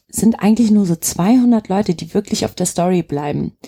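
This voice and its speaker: A woman speaks at a moderate pace in a dark, mellow, somewhat breathy tone. The sound is dry and close, with no echo. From Germany, Turkish parents. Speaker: singer-songwriter. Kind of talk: casual interview chat.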